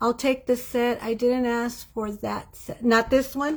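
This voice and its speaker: On a very clean recording with a silent background, a woman with a high pitch speaks at a very slow pace. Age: 60s. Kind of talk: live sales stream, casual chat with viewers. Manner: chatty, halting with fillers and repeats.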